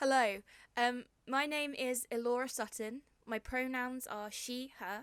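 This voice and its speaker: A woman with a southern English accent at a high pitch, with fairly even intonation and a fairly slow pace. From southern England, Hampshire. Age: 20s. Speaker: poet. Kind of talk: poetry reading; casual introduction. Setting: home bedroom, video recording.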